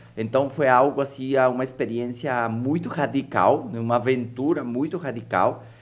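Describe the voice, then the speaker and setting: With an Ecuadorian accent, a man speaks at medium pitch and a moderate pace, his intonation fairly even. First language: Spanish (speaking Portuguese). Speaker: entrepreneur and author. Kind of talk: podcast interview.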